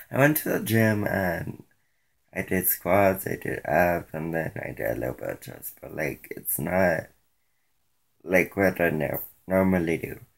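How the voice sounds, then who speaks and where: A man with a very deep, low pitch speaks at a fairly slow pace, his pitch varying in an ordinary way while his loudness swings widely. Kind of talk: casual talk to camera. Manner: low-energy.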